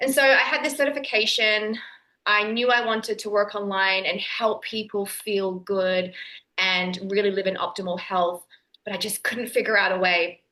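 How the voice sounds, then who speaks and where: With an Australian accent, a woman speaks at a moderate pace in a bright, sharp tone and with ordinary pitch variation. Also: medium pitch for a woman. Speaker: nutritionist and online entrepreneur. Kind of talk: podcast interview.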